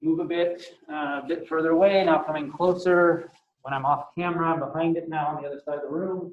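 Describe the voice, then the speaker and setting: Loud and at a very fast pace, a man speaks with a high pitch and monotone, flat intonation. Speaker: teacher. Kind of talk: audio test demonstration. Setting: classroom. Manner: loud, projecting. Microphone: laptop built-in mic, then camera mic, then earbuds.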